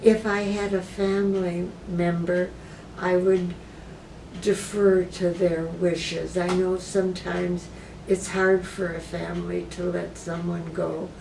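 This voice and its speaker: Noticeable background noise and audible room echo surround speech delivered at a fairly slow pace in monotone, flat intonation. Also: woman, fairly low pitch for a woman. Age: 80s+. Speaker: retired philosophy professor and cancer patient. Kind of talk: interview. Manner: hesitant, with many filler words.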